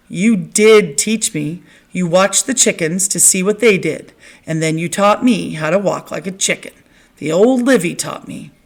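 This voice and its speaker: A raspy, put-on character voice at a moderate pace. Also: woman, medium pitch for a woman. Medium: read story. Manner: earnest, literal.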